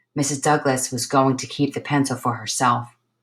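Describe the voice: The recording consists of plain reading aloud.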